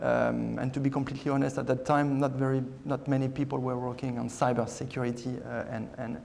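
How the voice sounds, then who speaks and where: A man speaks with a French accent, and there is audible room echo. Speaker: aircraft maker security director. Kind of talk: panel presentation. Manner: halting, many fillers.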